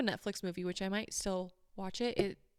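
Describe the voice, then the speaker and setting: A woman's animated voice at a fairly quick pace, in a very clean recording with a silent background. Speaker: podcast co-host. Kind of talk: casual chat. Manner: fast.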